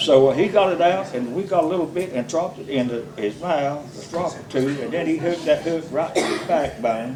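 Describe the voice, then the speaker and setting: With audible room echo and noticeable background noise, a man with a North Carolina accent speaks at a fairly quick pace, his fairly high pitch showing ordinary variation. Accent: Southern US, North Carolina. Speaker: storyteller at a birthday party. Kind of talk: anecdote telling at a party roast. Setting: party with audience, using a microphone.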